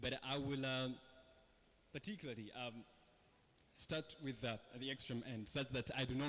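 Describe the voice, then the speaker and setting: The speaker has a Ugandan accent. The pace is moderate. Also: man. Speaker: panel moderator. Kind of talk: panel moderation.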